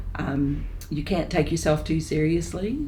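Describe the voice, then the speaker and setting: Over background music, a woman speaks in a very deep, low voice with a Texan accent and ordinary pitch variation. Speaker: residential college principal. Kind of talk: interview answer.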